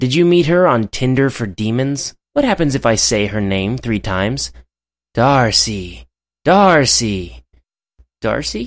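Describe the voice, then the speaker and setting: Putting on a raspy character voice, a man speaks at a fairly slow pace with medium pitch, lively intonation and long, frequent pauses. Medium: cartoon. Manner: exasperated, sarcastic, ranting.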